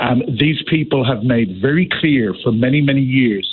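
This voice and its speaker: A man speaks with an Irish accent. His voice sits at a medium pitch with ordinary variation. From Ireland. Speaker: former diplomat. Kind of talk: radio interview.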